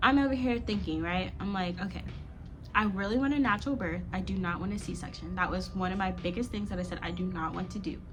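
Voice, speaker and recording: Noticeable background noise fills the space as a woman talks very fast in an American accent. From Florida, USA. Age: 20s. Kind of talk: casual storytime talk to camera.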